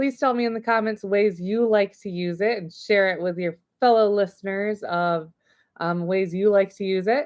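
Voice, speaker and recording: The voice belongs to a woman. Her pitch moves in an ordinary way. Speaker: livestream host presenting subscription box products. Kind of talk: live product unboxing stream. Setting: live video stream. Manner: loud; animated.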